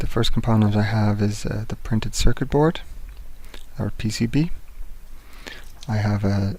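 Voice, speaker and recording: This soft-spoken man has a fairly low pitch and a dark, mellow tone. He sounds calm, with ordinary pitch variation. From England. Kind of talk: instructional tutorial narration. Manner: calm, soft-spoken.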